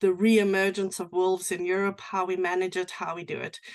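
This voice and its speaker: A woman with a South African accent speaks at a moderate pace in a monotone, flat intonation over a quiet background. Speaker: sheep and cattle rancher, livestock guardian dog expert. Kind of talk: presentation. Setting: online presentation with screen share.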